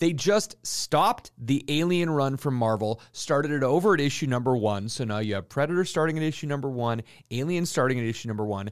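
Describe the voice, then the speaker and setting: A man with a fairly high pitch and a normal speaking voice talks at a fairly quick pace with lively intonation and hardly any pauses, in a very clean recording with a silent background. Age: 40s. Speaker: comic book market co-host. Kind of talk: weekly comic market rundown.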